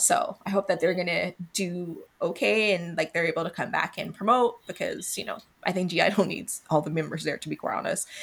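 Barely pausing, a woman talks over noticeable background noise. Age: 30s. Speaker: podcast host. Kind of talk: casual chat.

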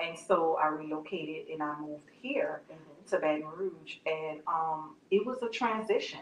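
With a New Orleans accent, a woman speaks at a moderate pace and fairly low pitch, with ordinary pitch variation, big swings in loudness and hardly any pauses. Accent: New Orleans Southern US. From US South, New Orleans. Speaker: nonprofit founder. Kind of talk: interview.

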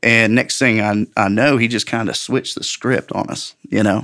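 A man has a plain, everyday voice at a fairly low pitch, with fairly even intonation. The recording is very clean, with a silent background. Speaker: testimony giver. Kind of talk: testimony, conversational interview. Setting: studio. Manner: casual, storytelling.

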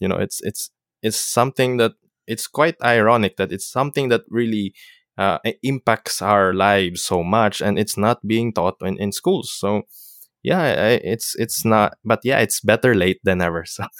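A man's fairly low voice in a Filipino accent, at a moderate pace with ordinary pitch variation and a dry, close sound with no echo. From Philippines. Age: young. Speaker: podcast host, seafarer. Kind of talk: casual interview. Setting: remote call. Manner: halting, many fillers and restarts.

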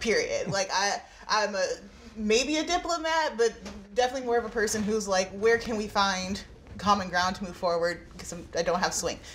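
A woman's fairly high, lively voice at a fairly quick pace, with noticeable background noise. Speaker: podcast executive producer. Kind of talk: panel roundtable discussion.

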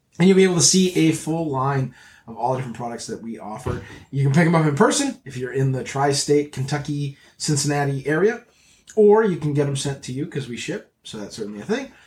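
A man speaks in a somewhat breathy, fairly high-pitched voice at a fairly quick pace. His intonation is lively, and his loudness swings widely. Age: 40s. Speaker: jiu-jitsu podcast host and gear seller. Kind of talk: casual chat; promotional plug. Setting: studio. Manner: animated.

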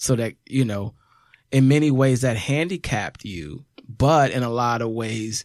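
In a very clean recording with a silent background, a man with a normal speaking voice talks at a fairly slow pace, his medium pitch showing ordinary variation. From US Midwest, south side of Chicago. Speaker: rapper and former teacher. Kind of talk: casual chat.

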